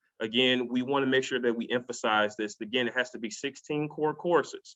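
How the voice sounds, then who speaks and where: Fairly quick speech from a man, medium in pitch, with fairly level intonation. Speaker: college athletics eligibility presenter. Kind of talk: webinar presentation. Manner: fast; halting, many repetitions.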